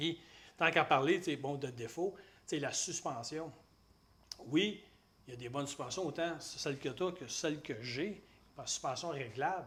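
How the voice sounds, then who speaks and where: A man with a Quebec accent at a fairly high pitch, fairly slow, with long, frequent pauses. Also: ordinary pitch variation. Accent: Québécois French. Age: 60s. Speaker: motorcycle journalist. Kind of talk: casual chat.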